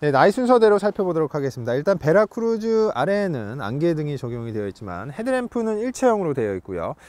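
A man rattles along at a very fast pace with hardly any pauses, the sound dry with no echo. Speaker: car reviewer. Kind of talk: car review walkaround commentary. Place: street.

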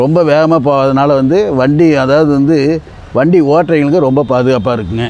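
A man speaks with a fairly high pitch and ordinary pitch variation. The sound is dry, with no echo. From Karur district, Tamil Nadu. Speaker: vintage scooter owner. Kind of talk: interview answer. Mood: proud, warm. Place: street.

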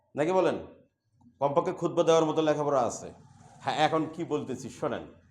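With audible room echo around him, a man speaks at a fairly high pitch with fairly even intonation. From Bangladesh, Bogura district. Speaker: Islamic preacher and madrasa assistant professor. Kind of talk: sermon. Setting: mosque.

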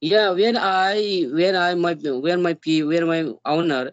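With an Indian accent, a man speaks in a high pitch with ordinary pitch variation against a quiet background. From India, Bihar. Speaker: YouTuber learning English. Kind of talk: casual English practice conversation. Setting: video call. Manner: halting. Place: home room. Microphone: video call.

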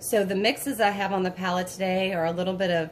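A woman at a fairly quick pace, over light background noise. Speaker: painting instructor. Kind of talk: tutorial. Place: home room.

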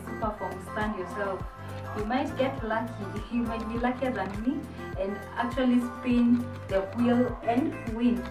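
A woman talks fairly slowly while clear music plays behind her. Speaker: lifestyle vlogger. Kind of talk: casual vlog chat. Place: home room.

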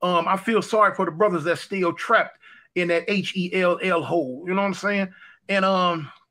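Against a quiet background, a man speaks in a raised, projected voice at a moderate pace with fairly even intonation. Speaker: livestream host or guest. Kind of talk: casual livestream talk, personal story. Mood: earnest, indignant. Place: home room. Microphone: webcam.

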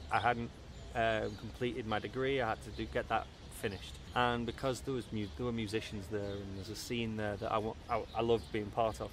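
A man at medium pitch with a Liverpool accent and ordinary pitch variation, at a fairly quick pace, in a dry sound with no echo and light background noise. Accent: Liverpool (Scouse) English. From Merseyside, northern England (Southport/Liverpool). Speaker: musician. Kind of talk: interview. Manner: halting, many repetitions and fillers. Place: home room.

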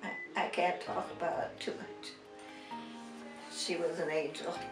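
Clear music plays in the background as a woman talks at a fairly slow pace with an American accent. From Nebraska. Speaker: interviewee. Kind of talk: interview answer. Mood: emotional, reminiscing. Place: home room.

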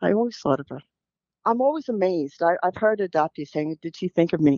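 A woman with a New York accent, fairly low-pitched and lively in intonation, in a dry sound with no echo and a quiet background. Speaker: birth mother; podcast guest. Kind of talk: interview answer. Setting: phone line. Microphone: phone line.

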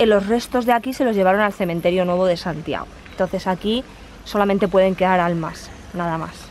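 A woman's medium-pitched, unremarkable speaking voice at a fairly quick pace, with ordinary pitch variation, a dry sound with no echo and light background noise. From Spain, not Galicia. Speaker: travel vlogger. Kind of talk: travel vlog narration. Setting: outdoors. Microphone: phone near.

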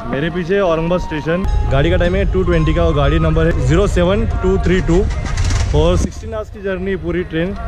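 A man at a moderate pace, dry with no echo, clear music playing in the background. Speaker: travel vlogger. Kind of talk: casual vlog chat. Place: station. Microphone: phone near.

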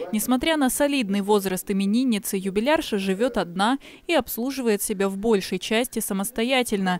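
At a moderate pace, a woman with a medium pitch speaks in an unremarkable speaking voice with ordinary pitch variation. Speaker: TV news reporter. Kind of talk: TV news voice-over.

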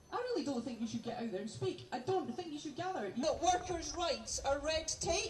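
Hardly pausing at all, the speaker comes through with audible room echo and light background noise. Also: fairly quick pace. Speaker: rally speaker. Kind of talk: rally speech to a crowd. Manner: rhetorical, call-and-response, speaking to crowd. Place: open country.

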